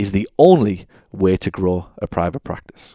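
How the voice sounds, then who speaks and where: Dry and close with no echo, the recording captures a man whose fairly low, dark, mellow voice shows ordinary pitch variation. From England. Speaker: podcast host, physical therapy clinic owner and author. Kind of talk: reading aloud from own book; solo podcast monologue.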